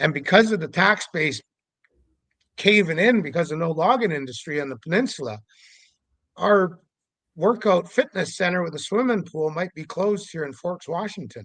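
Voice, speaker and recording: Lively intonation at a moderate pace, with long, frequent pauses and big swings in loudness. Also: man, high pitch for a man. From Canada, Vancouver Island, British Columbia. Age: 60s. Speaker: Sasquatch investigator. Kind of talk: podcast interview monologue.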